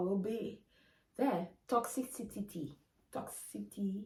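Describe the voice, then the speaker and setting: Speaking with a non-native accent, a woman sounds animated, with ordinary pitch variation. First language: not English. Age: 20s. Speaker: lifestyle vlogger. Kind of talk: casual vlog monologue.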